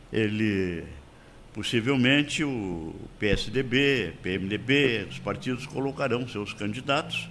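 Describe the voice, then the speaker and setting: Speaking at a very slow pace with vocal fry, a man of medium pitch shows ordinary pitch variation. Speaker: lawyer and radio commentator. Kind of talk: radio commentary.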